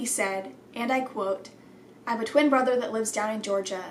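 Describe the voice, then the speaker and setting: A woman talks at a very fast pace with a fairly high pitch and ordinary pitch variation. Noticeable background noise and audible room echo fill the recording. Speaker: YouTuber reading viewer stories. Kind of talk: reading aloud. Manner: fumbling words.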